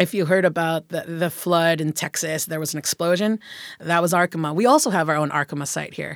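On a very clean recording with a silent background and a dry, close sound with no echo, a woman has a normal speaking voice, fairly low in pitch, with fairly even intonation and a fairly quick pace. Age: 40s. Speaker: political candidate. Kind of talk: interview.

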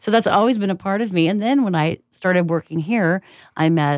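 A woman at a fairly low pitch and moderate pace, a normal speaking voice with lively intonation, dry, close sound with no echo, on a very clean recording with a silent background. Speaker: jazz radio host and musician. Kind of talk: casual chat. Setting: radio station studio.

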